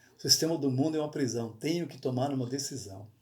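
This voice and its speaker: A somewhat breathy voice comes through in a very clean recording with a silent background. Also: man. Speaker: pastor. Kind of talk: bible study sermon. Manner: halting, self-correcting.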